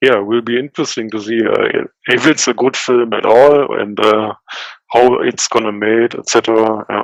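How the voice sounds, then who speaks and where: In a dry, close sound with no echo, the speaker uses a German accent, a moderate pace and fairly even intonation. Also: man, medium pitch for a man. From western Germany. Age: 30s. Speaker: indie game developer. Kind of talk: interview. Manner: halting, many fillers.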